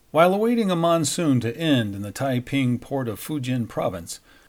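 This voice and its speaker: An unremarkable speaking voice from a man at medium pitch, with lively intonation and a moderate pace. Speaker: news anchor and podcast host. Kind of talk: history documentary narration, scripted. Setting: studio podcast. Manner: measured, formal, steady; even-paced, authoritative storytelling.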